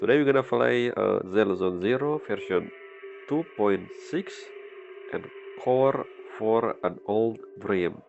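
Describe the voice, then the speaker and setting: Music plays in the background as a man speaks at a very slow pace, with long, frequent pauses. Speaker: gaming commentator. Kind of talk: let's play commentary.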